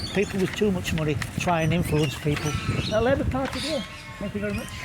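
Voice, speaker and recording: Over noticeable background noise and audible room echo, a man talks very fast at a high pitch, his voice swinging very widely up and down. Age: 70s. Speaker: party volunteer. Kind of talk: street interview.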